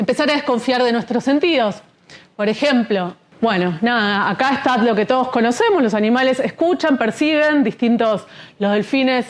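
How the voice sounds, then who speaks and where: Her pitch is high. This woman uses lively intonation. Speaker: speaker on shamanism. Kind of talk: lecture. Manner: fast.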